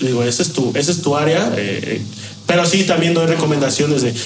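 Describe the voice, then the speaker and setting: A man with a fairly high voice speaks with lively intonation. Noticeable background noise and audible room echo surround him. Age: 30s. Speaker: bartender. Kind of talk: interview.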